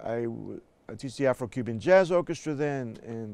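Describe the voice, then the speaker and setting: The speaker has a New York accent and lively intonation. The recording is very clean, with a silent background. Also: man. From New York City, South Bronx. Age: 60s. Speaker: jazz bandleader and music educator. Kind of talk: interview conversation.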